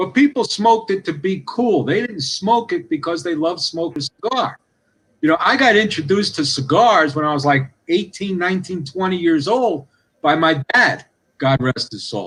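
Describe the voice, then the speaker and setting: A high-pitched man with a slight New York City accent and lively intonation. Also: moderate pace. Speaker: cigar industry guest. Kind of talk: podcast interview.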